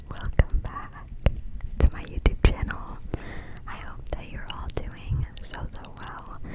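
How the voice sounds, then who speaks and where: A woman whispers at a very slow pace, leaving long, frequent pauses. Her loudness swings a lot, and background noise is noticeable. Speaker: ASMR creator. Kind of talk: whispered ASMR ramble to camera. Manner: whispered, soft.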